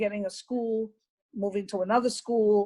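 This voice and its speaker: A woman is talking here. She sits fairly high in pitch. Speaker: retired teacher. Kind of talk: interview. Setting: video call. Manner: loud.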